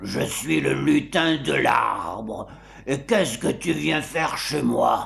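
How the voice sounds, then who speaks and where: Putting on a raspy character voice, a man of medium pitch talks at a fairly slow pace. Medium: read story. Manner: bossy, sly.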